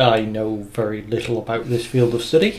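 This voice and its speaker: A man speaks with a British accent against noticeable background noise. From Britain. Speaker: podcast co-host and editor. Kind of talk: casual chat.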